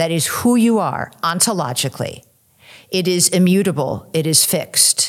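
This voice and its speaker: An unremarkable speaking voice from a woman, fairly low in pitch, with lively intonation. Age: 60s. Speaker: author and former English professor. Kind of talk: interview conversation. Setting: recorded at a conference.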